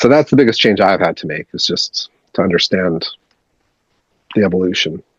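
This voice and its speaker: A man with a Canadian accent talks at a fairly quick pace and fairly low pitch, with ordinary pitch variation and long, frequent pauses. The sound is dry and close with no echo. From Canada. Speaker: punk musician and record label owner. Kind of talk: casual interview. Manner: casual, many fillers and repetitions.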